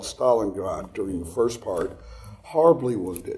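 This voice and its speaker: With a Texan accent, a man talks against noticeable background noise. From Texas. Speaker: actor and military reenactor. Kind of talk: casual chat. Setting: interview. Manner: halting.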